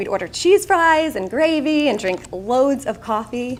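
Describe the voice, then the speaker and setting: Speaking with a Long Island accent, a woman sounds animated, with lively intonation. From Long Island, New York. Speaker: keynote speaker. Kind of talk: keynote speech.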